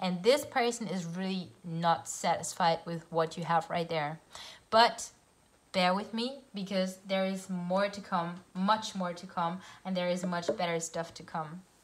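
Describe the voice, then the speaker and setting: A woman speaks with a German accent at a medium pitch and a fairly slow pace. Her intonation is fairly even and her voice somewhat breathy. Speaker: tarot reader. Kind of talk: tarot reading. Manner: halting.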